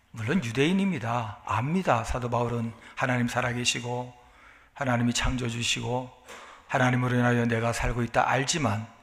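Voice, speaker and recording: Audible room echo surrounds a man's voice. He talks at a moderate pace in a medium pitch, with ordinary pitch variation. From South Korea. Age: 60s. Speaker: pastor. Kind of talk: sermon.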